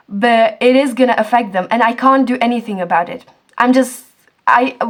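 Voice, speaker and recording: A woman's fairly high voice moves with ordinary pitch variation. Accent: Czech. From Czech Republic. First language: Czech. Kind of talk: casual talk to camera.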